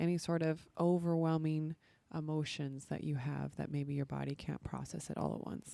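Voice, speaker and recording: Soft-spoken and dark, mellow in tone, a woman talks at a moderate pace in a very deep, low pitch, captured in a very clean, silent recording with a dry, close sound and no echo. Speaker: podcast host and women's coach. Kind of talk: podcast monologue.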